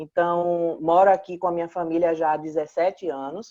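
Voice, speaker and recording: In a dry, close sound with no echo, a woman talks fairly slowly at a fairly low pitch. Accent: Pernambuco. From Pernambuco, northeastern Brazil. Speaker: clinical psychologist. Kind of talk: talk show interview.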